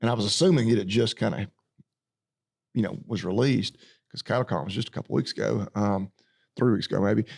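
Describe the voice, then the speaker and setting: A man talks very fast at a fairly low pitch, with vocal fry, ordinary pitch variation and long, frequent pauses. The sound is dry and close with no echo. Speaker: farmer. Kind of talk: podcast conversation. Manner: casual, unfiltered.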